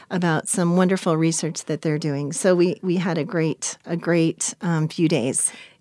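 On a very clean recording with a silent background, a woman with a fairly low pitch speaks at a moderate pace in an unremarkable speaking voice. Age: 50s. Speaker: podcast co-host. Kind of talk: interview. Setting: studio.

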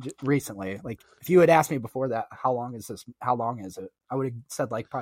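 Lively, plain reading aloud with a quiet background

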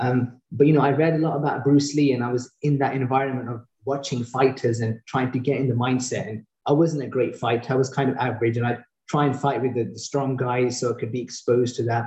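Very fast and with a British accent, a man talks in a medium pitch with a dark, mellow tone, a somewhat breathy quality and monotone, flat intonation. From UK. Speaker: eye surgeon, reality show contestant. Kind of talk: interview.

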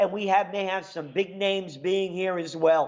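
Speaking in a New York accent, the voice moves at a fairly slow pace. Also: man. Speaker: radio host. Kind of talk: talk radio monologue. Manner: animated.

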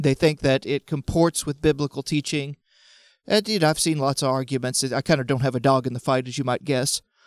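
A man's normal speaking voice, fairly high in pitch and fairly even in intonation, at a fairly quick pace, with dry, close sound, no echo, a very clean recording and a silent background. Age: 30s. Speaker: podcast panelist. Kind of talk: casual chat.

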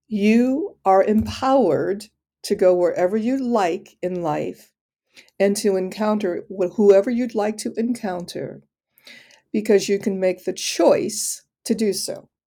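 On a very clean recording with a silent background, a woman with an American accent and a dark, mellow tone speaks fairly slowly at a medium pitch. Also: ordinary pitch variation. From Detroit. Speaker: inclusion officer and minister. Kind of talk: interview answers.

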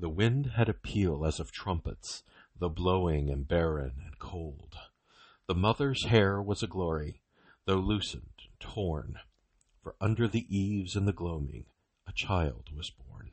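Somewhat breathy and very deep, a man speaks at a fairly slow pace with lively intonation and big swings in loudness. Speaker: poetry reader. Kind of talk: poetry reading aloud, solemn and devotional. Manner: slow, measured, reverent, with rhythmic cadence and pauses at line ends.

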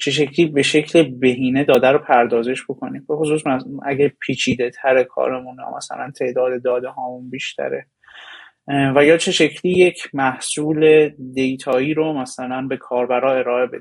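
This man talks in a medium-pitched voice with monotone, flat intonation. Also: moderate pace. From Iran. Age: 20s. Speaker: data engineer. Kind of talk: interview. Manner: halting.

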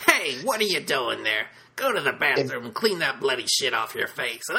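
The voice is a put-on character voice. Its pitch sits low to middle. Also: moderate pace. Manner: badly dubbed, gruff.

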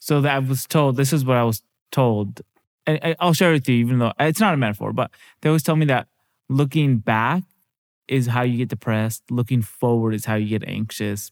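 A man with an American accent talks at a fairly quick pace in a normal speaking voice, at a medium pitch with ordinary pitch variation. The recording is very clean, with a silent background and a dry, close sound with no echo. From Seattle. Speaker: podcast host and stand-up comedian. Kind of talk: casual interview.

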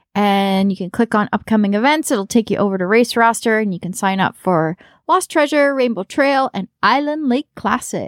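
A normal speaking voice with a Canadian accent moves at a moderate pace with lively intonation and hardly any pauses, in a very clean recording with a silent background and a dry, close sound with no echo. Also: woman, fairly high pitch for a woman. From Canada. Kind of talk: casual chat.

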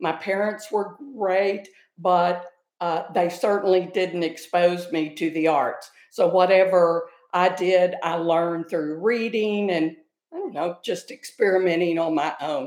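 A woman talks with a Texan accent. Her pitch is fairly low. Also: fairly even intonation. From North Texas. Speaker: retired high school theater director. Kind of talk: casual chat.

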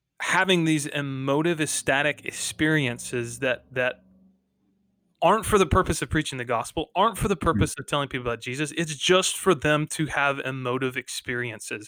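Speaking at a fairly quick pace, a man with a fairly high pitch, a bright, sharp tone and ordinary pitch variation comes through in a very clean recording with a silent background. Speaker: podcast co-host.

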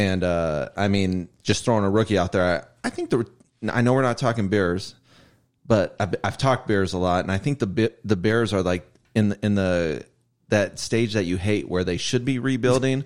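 A man with an American accent and an unremarkable speaking voice talks at a moderate pace, with a fairly low pitch and ordinary pitch variation, in a very clean recording with a silent background. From Ohio, Cleveland area. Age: 40s. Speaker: sports fan guest. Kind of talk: casual chat.

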